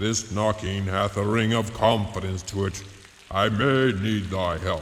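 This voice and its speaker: A man does a put-on character voice, fairly low in pitch and fairly slow. Clear echo and clear background noise surround him. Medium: audio drama. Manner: gruff, growling.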